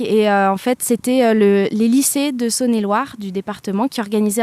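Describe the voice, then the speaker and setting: A woman's fairly high pitch in a dark, mellow tone, fairly slow and fairly even in intonation, with a dry, close sound, no echo and a very clean recording against a silent background. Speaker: singer and pianist. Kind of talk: interview answer.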